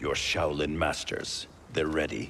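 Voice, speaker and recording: Putting on a character voice, a man speaks very deep and low at a fairly slow pace, with clear background noise. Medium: video game. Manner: stern, suspicious.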